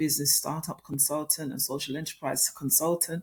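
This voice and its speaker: A woman's somewhat breathy voice comes through a very clean recording with a silent background. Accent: British. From UK, Jamaican heritage. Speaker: author and business consultant. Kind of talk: interview.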